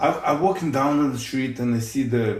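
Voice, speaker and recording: A man talks with a strong Russian accent in a somewhat breathy voice. Audible room echo surrounds his speech. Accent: heavy Russian. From Ukraine, Odessa. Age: 50s. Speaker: police officer. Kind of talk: casual chat.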